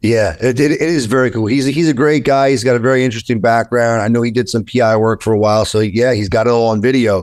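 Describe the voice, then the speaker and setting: Over a silent background in a very clean recording, a man of medium pitch talks at a very fast pace with hardly any pauses, very even loudness and ordinary pitch variation. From New York. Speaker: attorney. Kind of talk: interview. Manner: animated, with frequent repetitions.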